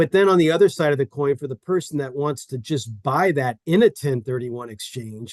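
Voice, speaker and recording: The sound is dry and close, with no echo. A man speaks with ordinary pitch variation. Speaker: real estate investment expert. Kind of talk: interview. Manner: fast.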